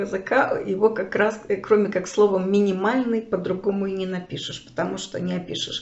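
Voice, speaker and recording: Audible room echo surrounds a woman speaking at a moderate pace. Her pitch is medium, and her intonation fairly even. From Kharkiv, Ukraine. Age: 60s. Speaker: video blogger, refugee. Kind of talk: personal storytelling to camera. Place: home room. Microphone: phone near.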